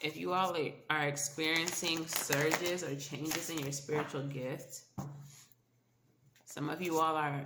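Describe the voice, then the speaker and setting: The delivery moves at a fairly slow pace. Noticeable background noise can be heard. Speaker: tarot reader. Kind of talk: tarot reading. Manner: casual, conversational.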